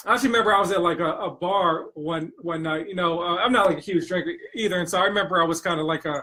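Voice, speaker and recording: Talking at a very fast pace with hardly any pauses, a man with an American accent uses a high pitch and ordinary pitch variation. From US, Washington DC area. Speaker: mortgage loan officer and entrepreneur. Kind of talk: interview. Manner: hesitant, many repetitions.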